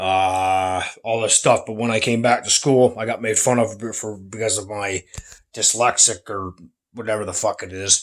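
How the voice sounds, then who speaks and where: Soft-spoken, a man talks at a medium pitch and a moderate pace with fairly even intonation, recorded very cleanly against a silent background. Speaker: vlogger. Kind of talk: casual vlog monologue. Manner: soft-spoken, keeping voice down; halting, repeats words.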